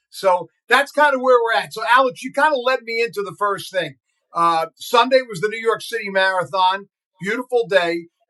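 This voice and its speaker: With an American accent, a man projects a raised, high-pitched voice of bright, sharp tone at a moderate pace, his loudness swinging widely. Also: ordinary pitch variation, dry, close sound with no echo. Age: 60s. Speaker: radio broadcaster and podcast co-host. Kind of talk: casual chat.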